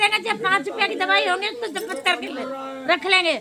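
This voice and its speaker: Crowd noise fills the background as a woman speaks in a raised, projected voice. Her pitch is extremely high and her intonation lively. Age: 60s. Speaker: slum resident interviewee. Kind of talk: street interview. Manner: complaining, agitated.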